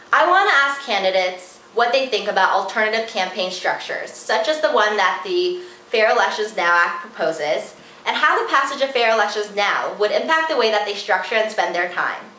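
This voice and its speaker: Over noticeable background noise, a woman talks at a fairly quick pace with a fairly high pitch and lively intonation. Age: 20s. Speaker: student and community organizer. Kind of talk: advocacy video pitch to camera.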